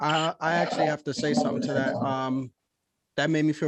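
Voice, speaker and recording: With an American accent, a man in an ordinary speaking voice talks at a fairly quick pace with fairly even intonation, the sound dry and close with no echo. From New York, Yonkers and the Bronx. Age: young. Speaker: podcast host. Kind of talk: interview.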